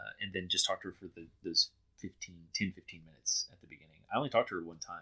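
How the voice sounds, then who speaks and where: Talking very fast with a Texan accent, a man shows big swings in loudness. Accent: Texan American English. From Texas. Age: 30s. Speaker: reality TV contestant. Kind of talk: interview. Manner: hesitant, many fillers.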